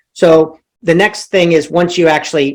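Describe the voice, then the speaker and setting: A man talks at a moderate pace. His pitch is high for a man. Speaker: leadership coach. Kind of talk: webinar masterclass. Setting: online webinar.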